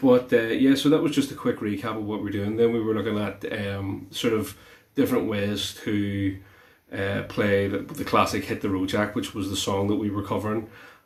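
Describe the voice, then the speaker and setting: Speaking at a moderate pace, a man with a fairly low pitch keeps his intonation fairly even, with audible room echo in the recording. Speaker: guitar teacher. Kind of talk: tutorial. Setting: live stream. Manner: hesitant, many fillers.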